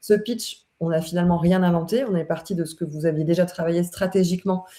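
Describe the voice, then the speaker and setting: A woman talks at a fairly low pitch with a dark, mellow tone. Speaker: consultant hosting a LinkedIn live. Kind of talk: live webinar conversation. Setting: online live stream. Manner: hesitant, many fillers.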